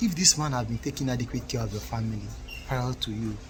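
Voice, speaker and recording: Someone talks at a fairly quick pace with an African accent. Noticeable background noise is present. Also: man. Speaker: relationship commentator. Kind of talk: casual monologue to camera, advice.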